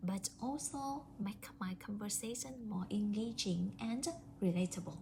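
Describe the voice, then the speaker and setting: The speaker talks at a fairly slow pace with a Vietnamese accent. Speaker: English language student. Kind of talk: prepared speaking assignment. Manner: hesitant with fillers.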